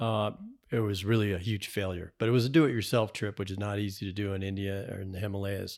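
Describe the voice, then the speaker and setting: Fairly quick and fairly even in intonation, a man with an American accent has an unremarkable speaking voice at a fairly low pitch. The recording is very clean with a silent background. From New England, Massachusetts. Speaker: fly fishing angler and author. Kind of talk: casual chat.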